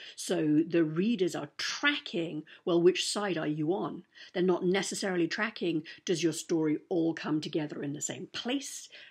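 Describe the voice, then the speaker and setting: A woman talks at a moderate pace. Her pitch is fairly low, with ordinary variation. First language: German. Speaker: author and writing teacher. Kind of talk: writing lesson. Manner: casual, hesitant with fillers.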